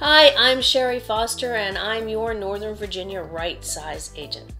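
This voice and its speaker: A woman speaking at a fairly slow pace over faint background music. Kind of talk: promotional vlog presentation. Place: home room.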